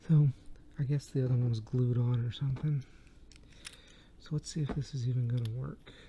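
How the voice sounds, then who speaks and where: Whispering at a fairly quick pace, a soft-spoken man sounds somewhat breathy and leaves long, frequent pauses. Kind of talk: ASMR tinkering video, soft-spoken demonstration. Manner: soft-spoken, whispered.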